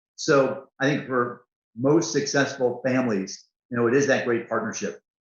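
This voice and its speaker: With a plain, everyday voice, a man talks at a moderate pace and medium pitch, keeping his intonation fairly even. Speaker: corporate CEO. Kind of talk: interview answer.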